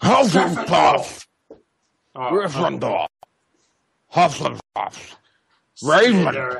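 Using a put-on character voice pitched high, a man speaks very slowly with long, frequent pauses. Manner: screaming, shouting house names.

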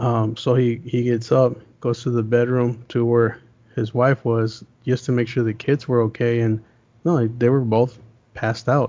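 A man with an American accent and a medium pitch speaks at a moderate pace with monotone, flat intonation and long, frequent pauses. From US West (Las Vegas, Los Angeles). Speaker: paranormal YouTuber. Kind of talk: casual chat.

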